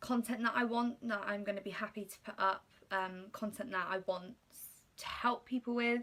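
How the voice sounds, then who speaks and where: A woman with a southern English accent speaks at a moderate pace. Her tone is bright and sharp, with ordinary pitch variation. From England, Slough (west of London). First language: Polish. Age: 20s. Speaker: YouTuber. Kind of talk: casual chat. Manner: hesitant, many fillers.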